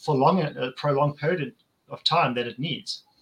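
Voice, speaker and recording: Fairly high for a man, this voice has a bright, sharp tone and ordinary pitch variation. He keeps a moderate pace. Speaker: podcast host. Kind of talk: casual chat.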